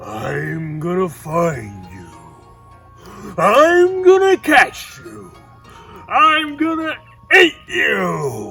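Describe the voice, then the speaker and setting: A man puts on a booming character voice at a very slow pace. Clear music plays in the background. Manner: menacing.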